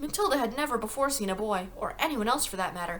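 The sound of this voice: Lively intonation from an unforced reading voice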